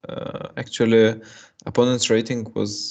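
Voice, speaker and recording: Against a quiet background, a man with a Russian accent speaks at a medium pitch. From Russia (Moscow). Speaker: chess streamer and coach. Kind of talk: live chess commentary. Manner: halting.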